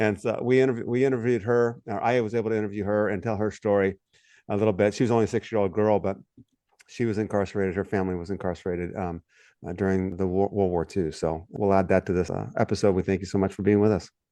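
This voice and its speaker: With an American accent, a man speaks very fast at a fairly low pitch with a dark, mellow tone. His intonation is fairly even, and the background is quiet. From California, US. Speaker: podcast co-host and former pastor. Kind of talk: interview podcast. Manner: conversational, with hesitations.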